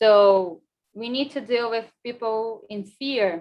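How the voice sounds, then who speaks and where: A woman's fairly high voice with ordinary pitch variation, a normal speaking voice. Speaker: emergency management presenter. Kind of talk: conference presentation.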